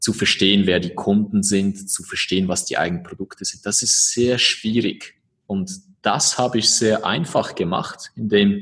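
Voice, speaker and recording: A man speaks in an ordinary speaking voice at a fairly slow pace. His pitch is fairly low and his intonation fairly even. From eastern Switzerland, born in Croatia. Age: 30s. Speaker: entrepreneur. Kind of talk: interview. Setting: video call.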